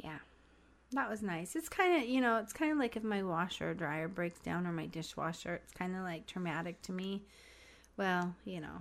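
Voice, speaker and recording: With a normal speaking voice, a woman at medium pitch uses lively intonation and a moderate pace, her loudness swinging widely. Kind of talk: casual chat.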